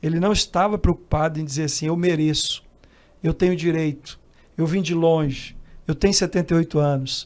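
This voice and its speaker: A man's high-pitched voice at a moderate pace, with fairly even intonation, on a very clean recording with a silent background. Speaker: missionary. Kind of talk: casual chat.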